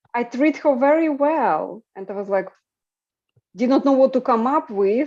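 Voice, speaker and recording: At a moderate pace, a woman with a high pitch and a dark, mellow tone swings her pitch very widely. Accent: Eastern European. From Ukraine, rural. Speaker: podcast host. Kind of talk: casual discussion.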